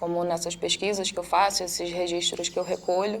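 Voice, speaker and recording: There is noticeable background noise in the clip. Over it, a woman talks. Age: 20s. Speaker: psychologist. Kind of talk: testimony.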